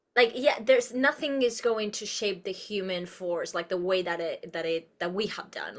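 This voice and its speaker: A woman with a Spanish accent speaks at a moderate pace and medium pitch, with ordinary pitch variation, big swings in loudness and hardly any pauses. Background noise is noticeable. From Uruguay. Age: 30s. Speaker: actress and producer. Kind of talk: interview conversation. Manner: expressive.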